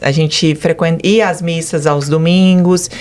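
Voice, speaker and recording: A woman's fairly low, monotone, flat voice at a fairly slow pace, over noticeable background noise. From Brazil, Goiânia. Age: 40s. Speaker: business owner giving religious testimony. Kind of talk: testimony interview.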